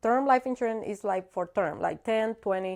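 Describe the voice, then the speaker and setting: With a Cuban accent, a woman speaks at a moderate pace in a fairly high pitch with lively intonation. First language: Spanish. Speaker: insurance broker. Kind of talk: casual interview.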